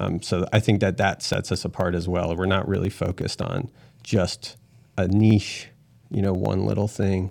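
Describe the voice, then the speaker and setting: With a very clean recording and silent background, a man speaks at a moderate pace in a very deep, low pitch with monotone, flat intonation. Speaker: electrician and business owner. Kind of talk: casual interview chat.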